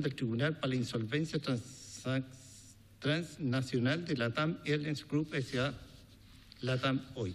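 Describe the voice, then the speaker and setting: With a Chilean accent, a man speaks at a moderate pace in a somewhat breathy voice, his pitch varying in an ordinary way. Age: 60s. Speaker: businessman. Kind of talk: testimony. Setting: parliamentary committee hearing.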